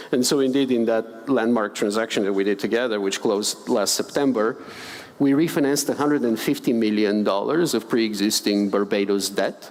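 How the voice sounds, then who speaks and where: The voice moves at a fairly quick pace with ordinary pitch variation. Noticeable background noise can be heard. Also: man, medium pitch for a man. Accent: Bulgarian. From Bulgaria. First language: Bulgarian. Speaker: finance expert, panelist. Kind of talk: panel discussion. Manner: hesitant, many fillers and repetitions.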